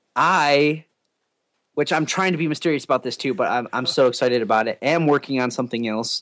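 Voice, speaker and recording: Recorded with a dry, close sound and no echo, a man with an unremarkable speaking voice talks at fairly high pitch and a fairly quick pace, showing ordinary pitch variation. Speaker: drummer. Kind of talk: casual podcast interview.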